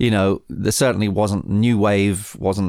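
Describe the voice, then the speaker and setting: A man with an English accent speaks at a fairly slow pace in a very deep, low pitch with fairly even intonation. The recording is very clean, with a silent background. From England. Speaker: record producer. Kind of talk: interview storytelling. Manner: halting.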